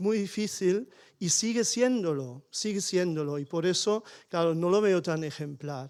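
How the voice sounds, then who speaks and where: Speaking at a fairly slow pace, a man with a German accent uses a high pitch. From Germany (small village). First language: German (speaking Spanish). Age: 60s. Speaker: audience member. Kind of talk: panel discussion. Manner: halting.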